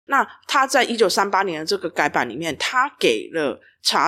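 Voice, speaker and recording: A woman's pitch swings enormously as she talks at a medium tempo, the recording very clean and the background silent. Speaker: regulatory affairs specialist. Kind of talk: explanatory podcast chat. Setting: empty office.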